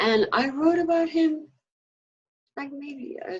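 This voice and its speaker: The speaker is a woman. She talks in a New York accent. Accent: New York American. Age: 70s. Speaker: former activist. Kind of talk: interview.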